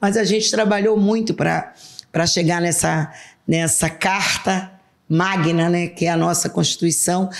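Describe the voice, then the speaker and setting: A woman with a plain, everyday voice speaks at a fairly low pitch and fairly slow pace. Her loudness stays very even, with fairly even intonation. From Brazil, western Pará (Alenquer). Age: 60s. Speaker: politician, state legislator. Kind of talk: interview.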